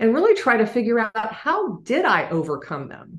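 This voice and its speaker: The woman talks at a moderate pace. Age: 60s. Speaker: business leader and author. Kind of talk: interview. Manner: halting.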